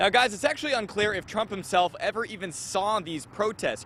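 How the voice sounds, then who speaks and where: Noticeable background noise sits behind a man talking at a fairly quick pace. His pitch is high, with ordinary pitch variation. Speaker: TV news reporter and anchor. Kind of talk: TV news report. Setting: outdoors, live on location.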